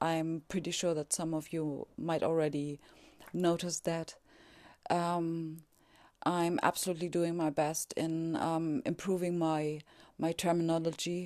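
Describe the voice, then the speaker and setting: In a quiet setting, a woman with a non-native accent talks at a fairly slow pace in a fairly low pitch, her intonation monotone and flat. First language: German. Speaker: podcaster on spirituality. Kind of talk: casual monologue. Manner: halting, many fillers.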